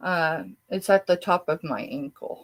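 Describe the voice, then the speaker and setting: At a very slow pace, a woman speaks with an American accent. The sound is dry and close, with no echo. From southeast Colorado. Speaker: online reseller. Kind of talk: live selling stream. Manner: casual, chatty.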